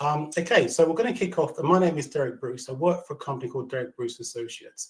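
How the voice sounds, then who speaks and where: This man talks at a fairly quick pace in a somewhat breathy voice. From London, England. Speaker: learning and development consultant. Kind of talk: webinar presentation. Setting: video call. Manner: fast.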